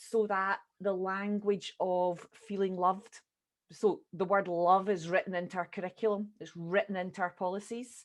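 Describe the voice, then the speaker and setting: A woman speaks with a Scottish accent at a medium pitch. Her pace is moderate and her intonation is monotone and flat. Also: quiet background. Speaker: early years educator. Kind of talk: group discussion.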